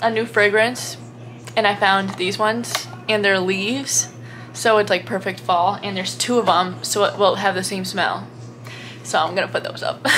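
A woman speaks at a moderate pace while light background noise plays underneath. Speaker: college student vlogger. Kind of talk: casual vlog chat. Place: home room.

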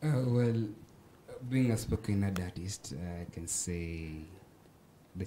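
A man speaks at a very slow pace. Light background noise runs behind him. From Kenya. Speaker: spoken word artist and student. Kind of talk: casual chat. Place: studio. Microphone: handheld.

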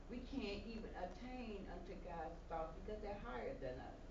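Noticeable background noise sits under a woman speaking with an American accent. Her fairly high voice moves at a moderate pace. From Chicago. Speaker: evangelist. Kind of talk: sermon. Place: church. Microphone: camera far.

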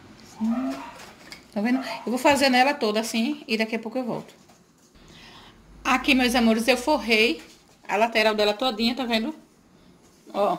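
A woman talks at a moderate pace with a fairly high pitch and ordinary pitch variation. Long, frequent pauses break her speech over light background noise. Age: 40s. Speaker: home cook, cooking channel host. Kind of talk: cooking tutorial talk to camera. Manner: warm, chatty. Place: kitchen. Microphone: phone near.

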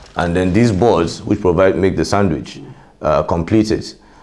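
A man's very deep, low voice with a dark, mellow tone, fairly even intonation and a moderate pace. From Nigeria. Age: 30s. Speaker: construction company CEO. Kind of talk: interview.

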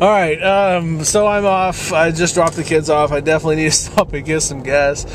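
The sound is dry with no echo, and light background noise is present. A man talks at a moderate pace with ordinary pitch variation. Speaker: vlogger. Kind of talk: casual vlog chat. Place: car. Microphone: phone near.

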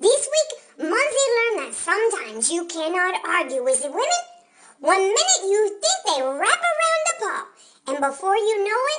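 A put-on character voice squeaks along at an extremely high pitch. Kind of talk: comic gossip narration. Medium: role play.

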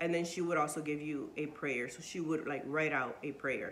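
There is light noise in the background. The woman's pace is moderate. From Puerto Rican family, moved to Indiana in 2011. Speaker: book vlogger. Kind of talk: casual book review vlog. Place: home room. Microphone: phone near.

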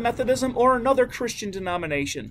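This man speaks fairly quickly at an extremely high pitch.

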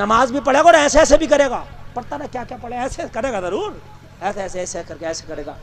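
The voice is animated, with very wide pitch swings and big shifts in loudness, over light background noise. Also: man, extremely high pitch for a man. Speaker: Islamic preacher. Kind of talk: humorous religious sermon. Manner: animated, comedic, conversational. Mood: joking, playful. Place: stage. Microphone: handheld.

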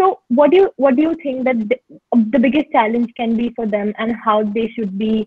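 A somewhat breathy, fairly high woman's voice, dry with no echo. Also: quiet background. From India. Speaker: student moderator. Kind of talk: Q&A moderation. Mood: polite, friendly. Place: home room. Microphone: earbuds.

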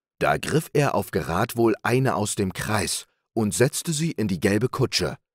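A man's voice with vocal fry and very wide pitch swings, dry and close with no echo, on a very clean recording with a silent background. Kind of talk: bedtime story reading aloud. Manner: slow, calm, soothing.

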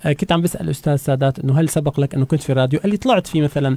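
Fairly high in pitch with ordinary variation, a man talks at a fairly quick pace in a somewhat breathy voice with a dark, mellow tone. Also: dry, close sound with no echo. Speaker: radio host teaching Turkish. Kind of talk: language lesson. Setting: radio studio.

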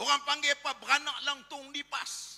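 At a fairly slow pace, a man speaks in a raised, projected voice at an extremely high pitch. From Malaysia. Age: 50s. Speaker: politician and Islamic cleric; politician. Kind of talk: political rally speech. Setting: stage with audience. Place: hall. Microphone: podium.

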